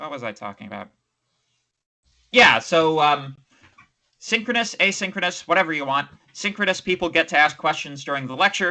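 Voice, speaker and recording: Long, frequent pauses break up a man's fairly quick, fairly high-pitched speech, bright and sharp in tone, with lively intonation and big swings in loudness. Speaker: university lecturer. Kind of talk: lecture. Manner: fast.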